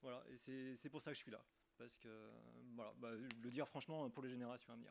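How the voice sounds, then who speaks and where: A man rushes along at a very fast pace. His intonation is monotone and flat. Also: medium pitch for a man. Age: 40s. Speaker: municipal election candidate. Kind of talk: self-introduction at a meeting. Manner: hesitant, many fillers.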